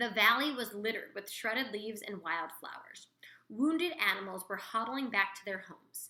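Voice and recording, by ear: A natural voice reading aloud, pitch moving in an ordinary way.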